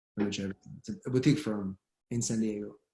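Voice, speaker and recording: A man speaks with an Israeli accent, his medium pitch showing ordinary variation. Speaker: immigration lawyer. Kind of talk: online panel discussion.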